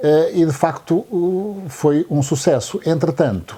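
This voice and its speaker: The pace is fairly slow as this man speaks. His pitch moves with ordinary variation. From Angola. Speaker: accountant and local lodging owner. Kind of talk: interview. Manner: halting.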